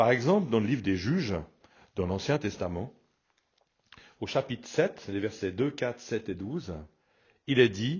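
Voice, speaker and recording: Somewhat breathy, a man at medium pitch speaks with lively intonation and long, frequent pauses. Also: fairly slow pace. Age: 60s. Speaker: pastor. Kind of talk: radio sermon. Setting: radio broadcast.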